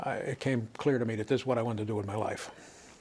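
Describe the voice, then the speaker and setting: Someone talks at a fairly quick pace in a normal speaking voice. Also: man. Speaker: university professor and administrator recounting his career. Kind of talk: reflective oral-history talk about his career.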